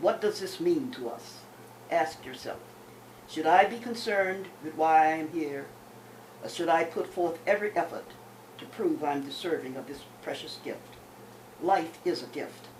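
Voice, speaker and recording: A woman with a fairly low pitch and lively intonation speaks at a moderate pace, with long, frequent pauses and big swings in loudness, amid audible room echo and noticeable background noise. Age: 80s+. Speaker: poet. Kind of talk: reading aloud. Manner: formal.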